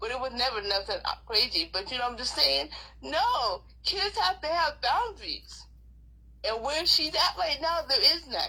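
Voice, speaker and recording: Delivered at a moderate pace, the voice is raised and projected, with a bright, sharp tone and very wide pitch swings. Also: woman, high pitch for a woman. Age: 60s. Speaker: grandmother fighting child protective services. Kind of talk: interview testimony. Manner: animated.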